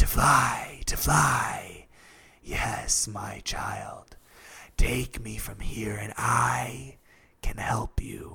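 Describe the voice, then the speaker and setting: A man puts on a character voice, raspy and soft-spoken, speaking at a very slow pace. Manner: coaxing, tempting, persuasive.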